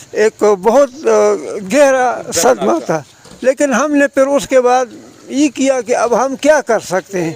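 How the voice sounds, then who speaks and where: Against noticeable background noise, a man speaks with a dry, close sound and no echo. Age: 60s. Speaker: cyclist, retired government officer. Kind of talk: interview answer.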